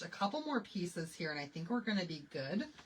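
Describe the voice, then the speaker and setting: An animated American-accented voice with very wide pitch swings over noticeable background noise. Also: woman. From Michigan. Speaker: craft live streamer. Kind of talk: live craft tutorial chat. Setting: live stream. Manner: chatty, animated.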